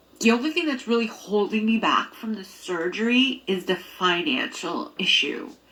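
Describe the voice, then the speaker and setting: A woman with a fairly high pitch speaks at a moderate pace, her pitch swinging very widely amid noticeable background noise. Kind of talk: personal vlog. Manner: halting.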